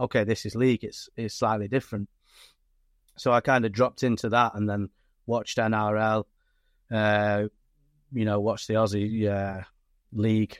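A man's fairly low-pitched, monotone, flat delivery at a moderate pace, with long, frequent pauses, a dry, close sound with no echo, and a very clean recording with a silent background. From northern England, Stockport area. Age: 40s. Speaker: rugby league coach. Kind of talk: casual chat.

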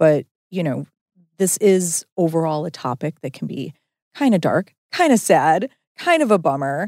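An ordinary speaking voice at a fairly slow pace, with a dry, close sound and no echo. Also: woman. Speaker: podcast host. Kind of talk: casual chat.

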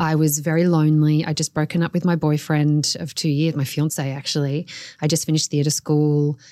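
A woman's dark, mellow tone with an Australian accent, monotone, flat intonation and a fairly quick pace. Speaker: author. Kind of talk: personal storytelling interview.

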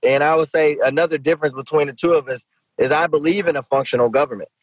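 A man talks at a very fast pace with a fairly high pitch and ordinary pitch variation. The sound is dry and close, without echo. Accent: American. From Shreveport, Louisiana, US South. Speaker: mayor and Senate candidate. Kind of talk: podcast interview.

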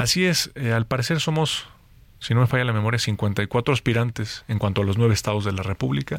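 A man speaks at a fairly quick pace with medium pitch and an unremarkable speaking voice, on a very clean recording with a silent background. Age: 30s. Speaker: politician. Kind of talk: interview. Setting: studio.

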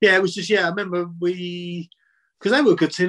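A man with a South London accent speaks very fast in a high voice, his intonation fairly even, the sound dry and close with no echo. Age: 50s. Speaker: former footballer. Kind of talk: casual chat.

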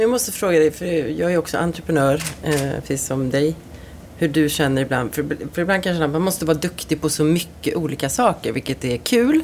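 A woman with a very deep, low pitch speaks at a fairly quick pace with lively intonation over noticeable background noise. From Sweden, Ulricehamn. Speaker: hairdresser. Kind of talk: casual chat.

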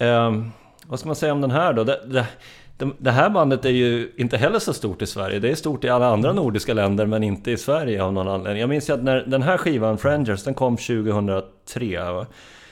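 A man talks at a fairly quick pace with hardly any pauses, his pitch medium. His intonation is lively against a quiet background. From Sörmland, Sweden (Strängnäs). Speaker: musician in a band. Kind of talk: casual interview.

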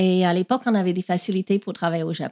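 On a very clean recording with a silent background and a dry, close sound with no echo, a woman with an English accent speaks in a dark, mellow tone. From Australia. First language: English (speaking French). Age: 50s. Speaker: past-life regression therapist. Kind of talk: interview.

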